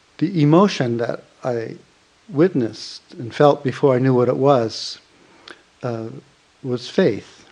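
A man speaks at a very slow pace, with long, frequent pauses. His pitch is medium, with ordinary variation. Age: 70s. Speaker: meditation teacher. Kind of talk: dharma talk. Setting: retreat hall with audience. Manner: halting.

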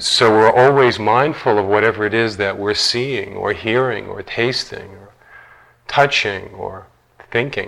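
A man's normal speaking voice, medium in pitch, at a fairly slow pace, with fairly even intonation and big swings in loudness. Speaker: meditation teacher. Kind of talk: guided meditation. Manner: slow, soft-spoken, calm and soothing with long pauses.

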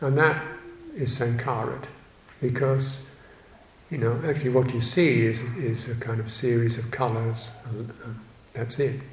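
Amid noticeable background noise, a man talks with fairly even intonation and long, frequent pauses. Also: medium pitch for a man, moderate pace. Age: 70s. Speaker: Buddhist monk teacher. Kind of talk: dharma talk. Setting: monastery. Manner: halting.

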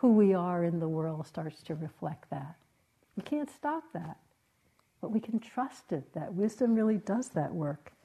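A woman speaks at a fairly slow pace with a dark, mellow, somewhat breathy tone and very wide pitch swings. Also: medium pitch for a woman. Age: 70s. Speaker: meditation teacher. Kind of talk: dharma talk. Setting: meditation retreat with audience.

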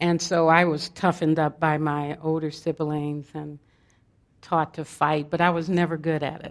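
With an American accent, a woman speaks in a very deep, low voice at a moderate pace. Her intonation is monotone and flat, against a quiet background. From US West Coast, South Central Los Angeles. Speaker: meditation teacher. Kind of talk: dharma talk.

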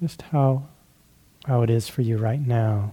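Somewhat breathy and at a fairly slow pace, a man speaks with fairly even intonation. His tone is gentle, soothing, dark and mellow. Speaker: meditation teacher. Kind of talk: guided meditation. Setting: retreat. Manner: slow, gentle, soothing; halting, with frequent pauses.

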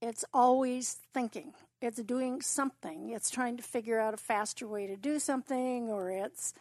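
Her normal speaking voice sits at a fairly high pitch, with fairly even intonation and a moderate pace, in a dry, close sound with no echo. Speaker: audience member. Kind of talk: casual question in group Q&A. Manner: laughs often, light.

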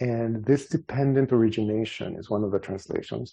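At a moderate pace, a man speaks in a medium pitch with fairly even intonation, a dark, mellow tone and a somewhat breathy sound. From El Salvador. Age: 50s. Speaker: meditation teacher. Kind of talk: dharma talk. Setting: meditation hall with audience.

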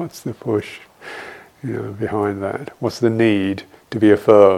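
A man with a southern English accent speaks at a fairly low pitch, with noticeable background noise. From London, England. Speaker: Buddhist monk and meditation teacher. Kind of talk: dharma talk with Q&A; guided meditation. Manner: halting, with frequent fillers.

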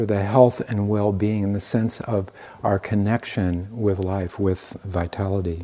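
At a fairly slow pace, the voice has a dark, mellow tone and an American accent. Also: man. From US Midwest, Iowa. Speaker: meditation and qigong teacher. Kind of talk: dharma talk. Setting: meditation retreat. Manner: halting.

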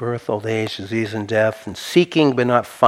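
A passage read out plainly.

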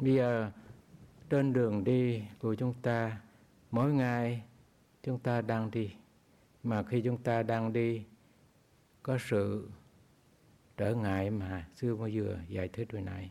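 The speech is very slow, with long, frequent pauses and fairly even intonation. Its tone is dark and mellow. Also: man, medium pitch for a man. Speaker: Buddhist monk teacher. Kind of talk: dharma talk.

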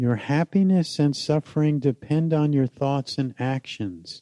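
Against a quiet background, a man with a fairly high pitch and a dark, mellow tone talks at a fairly slow pace with lively intonation. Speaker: meditation teacher. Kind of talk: guided meditation with repeated loving phrases. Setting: meditation hall with group. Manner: slow, gently repetitive phrasing; soft-spoken, calm and soothing.

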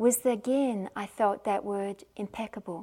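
A woman with an Australian accent. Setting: meditation retreat center.

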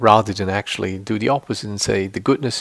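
With vocal fry and fairly even intonation, a man talks at a fairly low pitch. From Switzerland. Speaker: meditation teacher. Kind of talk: dharma talk to retreat audience; guided meditation, calm instructions with long silent pauses. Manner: conversational and earnest, with frequent fillers and restarts.

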